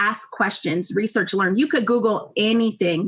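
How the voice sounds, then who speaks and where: A woman's normal speaking voice, fairly high in pitch. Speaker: university staff presenter. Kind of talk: presentation.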